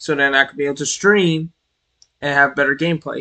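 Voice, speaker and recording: A man with an American accent speaks in a fairly high pitch, his tone bright and sharp. The sound is dry and close, with no echo. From New York City. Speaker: streamer. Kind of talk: casual live-stream commentary. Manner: animated.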